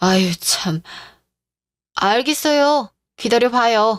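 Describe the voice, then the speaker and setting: Using a put-on character voice, a woman speaks at a very slow pace with a fairly high pitch and lively intonation. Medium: audio drama.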